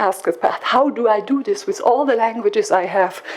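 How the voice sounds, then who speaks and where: At a moderate pace, a woman speaks at a fairly high pitch over noticeable background noise. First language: French. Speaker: project coordinator presenting at education conference. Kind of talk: conference presentation. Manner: halting with repetitions.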